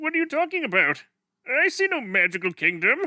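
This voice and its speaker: A man uses a cartoonish character voice, raised and projected, at an extremely high pitch. He moves at a fairly quick pace with very wide pitch swings. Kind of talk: cartoon fan dub. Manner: dramatic, theatrical.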